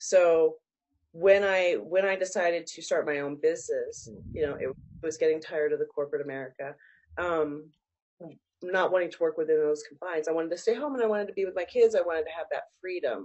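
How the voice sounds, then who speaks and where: A woman's normal speaking voice at a fairly quick pace, with ordinary pitch variation and big swings in loudness. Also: fairly low pitch for a woman. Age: 40s. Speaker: business coach and consultant. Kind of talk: interview conversation.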